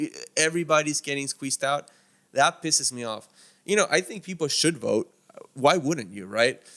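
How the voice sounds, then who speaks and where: A man's fairly high, bright, sharp voice in a Miami accent, with lively intonation, big swings in loudness, long, frequent pauses, and a dry, close sound with no echo. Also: moderate pace. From Miami, Florida (from Argentina at 10). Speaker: immigration activist. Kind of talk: casual chat.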